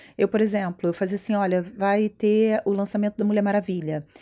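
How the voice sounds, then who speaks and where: The tone is dark and mellow, on a very clean recording with a silent background. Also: woman. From Brazil. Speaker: entrepreneur and brand mentor. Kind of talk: interview conversation. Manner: loud; animated.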